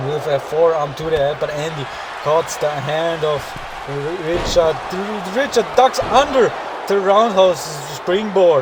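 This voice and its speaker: A man speaks at a high pitch and a fairly slow pace. Noticeable background noise runs beneath him. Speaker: wrestling game commentator. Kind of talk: live commentary. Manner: halting, stumbles over words.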